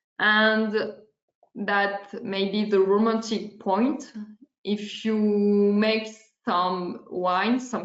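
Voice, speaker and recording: A woman speaks with a French accent at a medium pitch. Her pace is very slow. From France. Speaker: oenologist. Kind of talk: webinar presentation.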